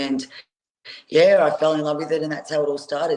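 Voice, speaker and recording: Speaking in an Australian accent, a woman has a very deep, low voice. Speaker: professional boxer. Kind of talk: interview.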